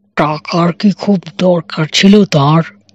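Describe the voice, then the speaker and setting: The voice is a put-on character voice. It sits at a middle pitch. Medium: read story. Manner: matter-of-fact, authoritative.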